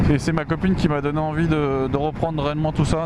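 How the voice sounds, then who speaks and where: A man's fairly high-pitched, monotone voice at a fairly quick pace, flat in intonation, with noticeable background noise. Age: 20s. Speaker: motorcycle vlogger. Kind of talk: motovlog while riding. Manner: hesitant, many fillers.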